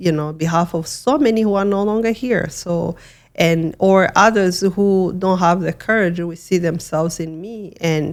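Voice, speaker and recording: A woman speaks at a fairly slow pace with a fairly low pitch and ordinary pitch variation. The recording is very clean, with a silent background. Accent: Rwandan. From Rwanda, western province. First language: Kinyarwanda. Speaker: genocide survivor and human rights advocate. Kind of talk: interview testimony. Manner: halting, with many repetitions and fillers.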